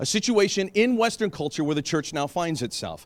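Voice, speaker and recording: A man speaks with an American accent in an animated way, with lively intonation. The recording is very clean, with a silent background. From United States. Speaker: pastor. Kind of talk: seminar talk. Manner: fast.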